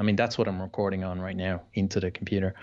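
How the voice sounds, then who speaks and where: With a Dublin accent, a man talks in a very deep, low voice and a monotone, flat intonation. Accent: Irish (Dublin). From Dublin, Ireland. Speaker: travel blogger and marketer. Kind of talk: casual interview chat.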